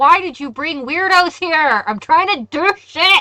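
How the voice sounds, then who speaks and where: A woman's shouting put-on character voice, extremely high in pitch, with lively intonation, big swings in loudness and a fairly slow pace. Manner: yelling, cranky.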